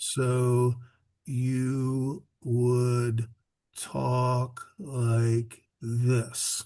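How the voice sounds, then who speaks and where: A man does a put-on character voice at a medium pitch. It sounds breathy, with monotone, flat intonation. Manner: relaxed, airflow-based, flutter technique.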